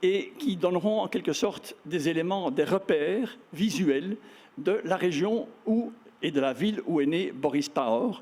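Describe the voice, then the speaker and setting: This man speaks at a fairly slow pace in a high voice, with lively intonation and very even loudness. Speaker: former ambassador, moderator. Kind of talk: event introduction.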